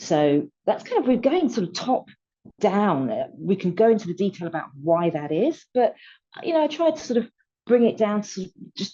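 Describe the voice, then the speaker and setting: With very wide pitch swings, the speaker talks at a moderate pace in a British accent. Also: woman, medium pitch for a woman. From UK. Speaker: retail technology publisher. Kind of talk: panel discussion. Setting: video webinar.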